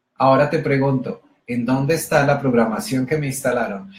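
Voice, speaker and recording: Somewhat breathy, a man speaks at a moderate pace. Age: 40s. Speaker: motivational speaker. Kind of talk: motivational talk. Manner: animated.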